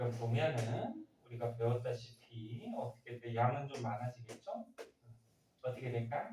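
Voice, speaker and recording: Speaking at a fairly slow pace, a man uses a medium pitch and monotone, flat intonation. His tone is dark and mellow, and somewhat breathy. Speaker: science teacher. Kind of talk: classroom lecture. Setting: classroom with students. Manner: muffled by face mask; conversational, questioning.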